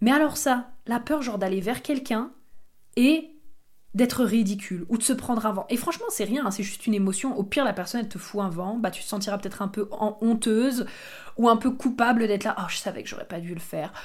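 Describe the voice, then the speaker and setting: Somewhat breathy, a woman speaks at a fairly quick pace with a fairly high pitch and ordinary pitch variation. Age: 20s. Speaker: podcast host, human design coach. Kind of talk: casual solo monologue. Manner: hesitant, many fillers.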